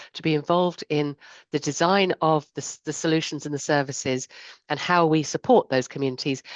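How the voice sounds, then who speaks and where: In a dry, close sound with no echo and a quiet background, a woman talks at a fairly quick pace with ordinary pitch variation. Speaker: insurance sustainability strategist. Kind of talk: panel discussion. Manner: fast.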